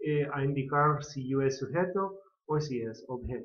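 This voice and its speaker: Pitch stays fairly high as a man talks with ordinary variation. His pace is very slow. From California. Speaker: English teacher and pastor. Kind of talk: lecture.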